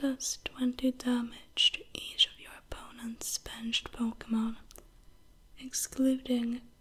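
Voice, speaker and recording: Whispering, a woman speaks at a very slow pace. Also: long, frequent pauses, big swings in loudness. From northern Sweden. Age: 20s. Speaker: ASMR creator. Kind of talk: ASMR show-and-tell. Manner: soft-spoken.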